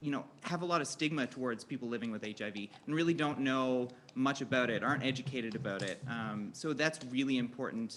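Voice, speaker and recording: Very fast male speech in a Newfoundland accent, medium pitch, ordinary pitch variation. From Newfoundland, Canada. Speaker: health educator, panel moderator. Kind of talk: panel discussion moderation. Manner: animated.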